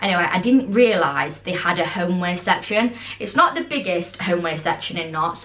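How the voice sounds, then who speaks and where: Speaking at a fairly quick pace, a woman with a British accent uses a medium pitch and lively intonation. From UK. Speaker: lifestyle vlogger. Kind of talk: casual haul video chat. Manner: fast; animated. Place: home room. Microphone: camera far.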